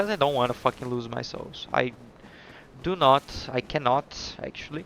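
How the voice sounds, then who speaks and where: Someone with a non-native accent speaks with ordinary pitch variation and big swings in loudness, in a dry, close sound with no echo and noticeable background noise. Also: man, medium pitch for a man, moderate pace. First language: not English. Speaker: gaming streamer. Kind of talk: gameplay commentary. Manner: casual, halting.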